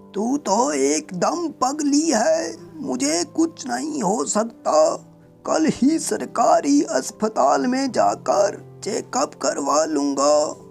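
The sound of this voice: A cartoonish character voice, fairly high in pitch, very slow, with very wide pitch swings and clear music in the background.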